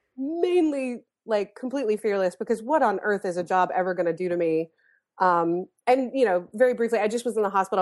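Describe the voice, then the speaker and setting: In a plain, everyday voice with an American accent, the speaker moves at a fairly quick pace with lively intonation over a quiet background. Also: woman. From US South, North Carolina. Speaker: therapist turned comedy writer. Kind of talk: casual chat.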